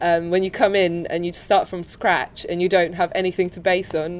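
Speaking at a moderate pace, a woman with a Polish accent uses a medium pitch. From Poland. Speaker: student doing PR work. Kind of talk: casual interview. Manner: relaxed.

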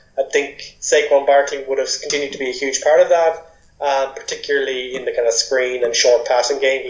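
Here a man with an Irish accent speaks at a moderate pace. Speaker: sports podcast co-host. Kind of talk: casual chat.

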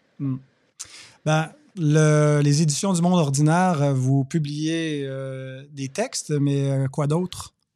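Speaking at a very slow pace, a man with a fairly high voice and a dark, mellow tone keeps his intonation fairly even. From Quebec. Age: young. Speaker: podcast host. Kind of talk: interview.

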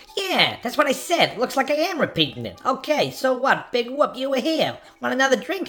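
A woman's high put-on character voice with hardly any pauses. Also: moderate pace. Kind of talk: improvised film noir radio play. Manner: chatty, brash, evasive.

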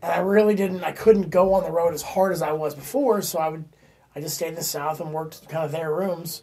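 With an American accent, a man speaks at a fairly quick pace in a high pitch with ordinary pitch variation. His loudness swings widely. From Florida. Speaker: stand-up comedian. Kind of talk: casual chat. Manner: animated.

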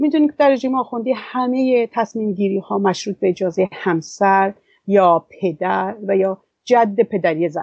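A woman with medium pitch and an unremarkable speaking voice talks here. Her pace is fairly slow and her intonation lively. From Iran. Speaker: women's association director, activist. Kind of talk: interview.

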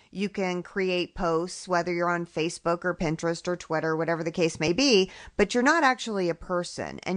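With a normal speaking voice, a woman talks at a fairly quick pace and fairly low pitch over a quiet background. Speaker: podcast host. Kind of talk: casual interview chat.

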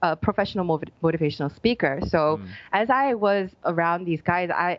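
With an American accent, a woman uses a normal speaking voice at a moderate pace. Her pitch is fairly low and her intonation lively. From United States. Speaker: life coach. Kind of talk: interview conversation.

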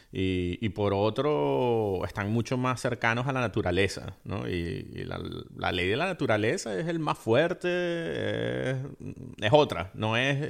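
On a very clean recording with a silent background, a man at medium pitch uses very wide pitch swings. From Venezuela. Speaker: podcast co-host, film commentator. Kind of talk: casual chat. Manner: halting.

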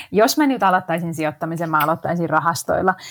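At a moderate pace, a woman speaks in an unremarkable speaking voice, fairly low in pitch with ordinary pitch variation. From Finland, Helsinki. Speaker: actress and investing blogger. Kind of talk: podcast interview.

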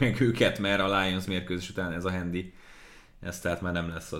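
Audible room echo surrounds a man whose very deep, low pitch stays monotone and flat at a moderate pace. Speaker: NFL podcast host and sports commentator. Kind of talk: casual sports podcast chat.

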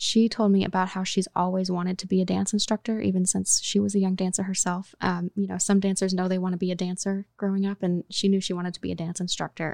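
Speaking at a very fast pace in a monotone, flat intonation, a woman with a medium pitch and an American accent is heard on a very clean recording with a silent background and a dry, close sound with no echo. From Oklahoma. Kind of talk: interview.

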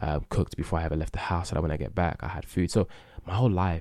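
On a very clean recording with a silent background, a man with a very deep, low pitch speaks at a very fast pace with ordinary pitch variation. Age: 20s. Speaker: podcast host. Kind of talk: solo casual monologue. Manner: hesitant, many fillers.

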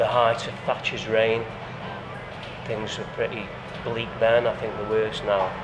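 A man with a Potteries accent talks at a medium pitch and fairly slow pace, his intonation monotone and flat with long, frequent pauses. Noticeable background noise and audible room echo surround him. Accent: Potteries (Stoke) English. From Stoke-on-Trent, Staffordshire (Fenton). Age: 40s. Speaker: music studio owner, ex-musician. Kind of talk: street interview.

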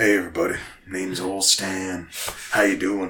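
Put-on character voice from a man, pitched very deep and low, moving at a moderate pace. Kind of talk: folksy. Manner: cheery, greeting a crowd.

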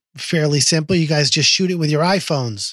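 This man talks at a fairly quick pace with fairly high pitch and ordinary pitch variation, using a normal speaking voice on a very clean recording with a silent background. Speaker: musician, podcast co-host. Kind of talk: casual chat.

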